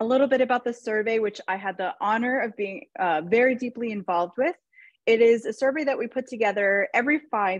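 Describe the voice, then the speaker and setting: Recorded with a dry, close sound and no echo, a woman in a normal speaking voice talks at a moderate pace with ordinary pitch variation. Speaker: nonprofit policy advocate. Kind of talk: webinar presentation.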